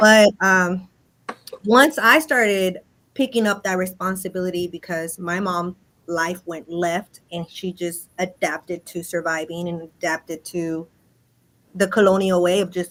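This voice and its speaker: A woman speaks at a fairly slow pace and medium pitch. Her pitch variation is ordinary. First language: Spanish. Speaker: Aztec dancer and traditional healer. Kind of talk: podcast interview.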